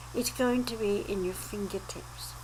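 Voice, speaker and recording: A woman talking at a fairly slow pace over noticeable background noise. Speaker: holistic health teacher. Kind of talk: educational talk to camera.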